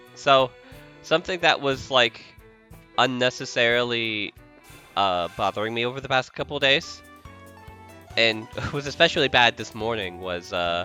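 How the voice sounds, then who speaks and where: Long, frequent pauses break up a man's moderate-paced speech while music plays in the background. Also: medium pitch for a man. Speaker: video game streamer. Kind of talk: casual gameplay stream commentary.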